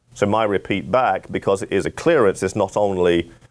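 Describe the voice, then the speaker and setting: In a plain, everyday voice, a man speaks fairly quickly at a fairly low pitch with ordinary pitch variation. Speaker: flight instructor. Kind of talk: tutorial. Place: office.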